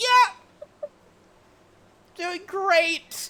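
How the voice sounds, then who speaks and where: This is a put-on character voice. It sits at an extremely high pitch and sounds squeaky. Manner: strained through gritted teeth, forced cheerful.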